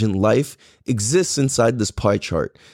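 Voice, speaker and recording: With a Californian accent and an animated tone, a man is heard in a dry, close sound with no echo, in a very clean recording with a silent background. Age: 30s. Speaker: podcast host. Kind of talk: casual monologue.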